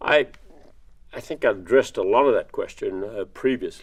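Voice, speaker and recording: A man talks with an American accent. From Texas (Victoria). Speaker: construction industry executive, alumnus. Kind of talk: interview talk on leadership. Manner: halting, repeated words and fillers.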